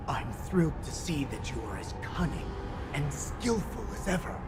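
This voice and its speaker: Someone uses a put-on character voice at a moderate pace. Loud background noise fills the recording. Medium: game stream. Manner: deferential.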